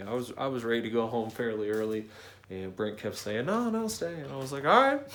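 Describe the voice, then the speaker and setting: There is audible room echo as a man talks at a medium pitch and a fairly quick pace. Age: 30s. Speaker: car builder vlogger. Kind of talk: casual vlog talk. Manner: softened, less aggressive delivery.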